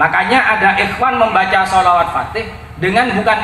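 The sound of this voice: There is audible room echo as a man speaks fairly quickly in a high voice with a bright, sharp tone.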